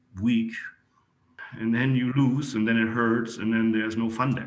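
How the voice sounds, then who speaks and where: A man with a German accent speaks at a medium pitch with fairly even intonation. Audible room echo surrounds his voice. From Germany. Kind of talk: interview.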